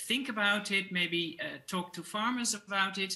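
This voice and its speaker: With lively intonation, the woman keeps to a moderate pace. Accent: Dutch. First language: Dutch. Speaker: food system expert. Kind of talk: presentation; panel discussion. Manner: halting.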